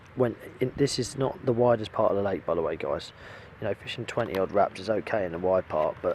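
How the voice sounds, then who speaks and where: Talking at a very fast pace, a man competes with noticeable background noise. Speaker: angler vlogger. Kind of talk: casual vlog talk to camera. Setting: outdoors at a fishing lake.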